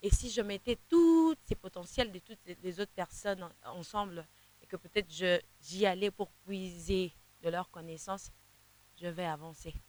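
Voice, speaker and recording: A woman with an eastern Congolese accent at medium pitch, fairly slow with long, frequent pauses, ordinary pitch variation and big swings in loudness, in a dry, close sound with no echo. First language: Kinande (speaking French). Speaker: gospel singer. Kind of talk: interview. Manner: halting, many repetitions.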